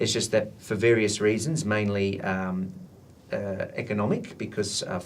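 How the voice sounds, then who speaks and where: Speaking with an Australian accent at a moderate pace, a man keeps a medium pitch amid audible room echo. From Australia, Italian migrant family. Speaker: translation professional association president and academic. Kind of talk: interview. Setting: recorded interview for students. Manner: hesitant, many fillers.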